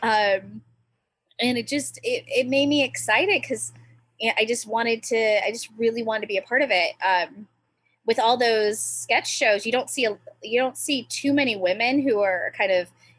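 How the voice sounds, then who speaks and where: A woman's ordinary speaking voice in an American accent, fairly high in pitch, with ordinary pitch variation and a moderate pace. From US Pacific Northwest, small island town near Seattle. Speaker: stand-up comedian. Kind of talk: casual chat.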